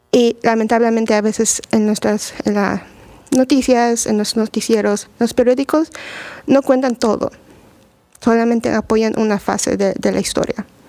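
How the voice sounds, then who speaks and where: A woman speaks at a fairly slow pace with a fairly high pitch. Her tone is dark and mellow, and her intonation fairly even. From Mexico (Puebla). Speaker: immigration lawyer. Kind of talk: radio talk show. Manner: halting.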